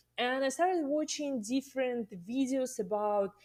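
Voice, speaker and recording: Speaking at a moderate pace with a Russian accent, a woman swings her pitch very widely. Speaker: cake artist and teacher. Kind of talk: interview podcast.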